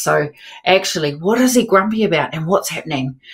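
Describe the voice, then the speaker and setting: Over a quiet background, a woman with a New Zealand accent speaks at a moderate pace. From New Zealand, South Island. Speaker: writer; panel writer. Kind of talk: panel discussion. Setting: video call. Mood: reflective, warm. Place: home room.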